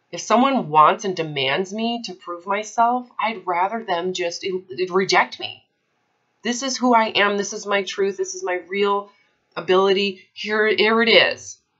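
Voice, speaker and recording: Against a quiet background, a woman speaks at a fairly slow pace, her loudness swinging widely while her pitch varies in an ordinary way. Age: 30s. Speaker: eating disorder recovery coach; coach in consult. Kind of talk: one-on-one coaching consultation. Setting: recorded call with a client. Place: home room. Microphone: webcam.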